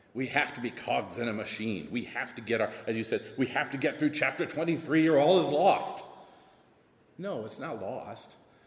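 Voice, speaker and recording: A man with an American accent speaks in a fairly high voice and a lively intonation over noticeable background noise. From US South. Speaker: assistant principal. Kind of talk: panel discussion.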